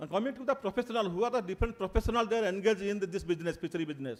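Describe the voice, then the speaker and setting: A man is talking here. The pitch of his voice is high. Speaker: fisheries academic speaker. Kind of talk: conference presentation. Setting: auditorium with audience. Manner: fast.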